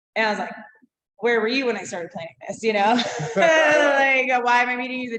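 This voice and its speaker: A woman's very fast, animated voice in a New England accent, fairly high in pitch with a bright, sharp tone. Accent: northern US (New England). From Massachusetts. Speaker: brewery co-founder and long-distance walker. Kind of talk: casual interview chat.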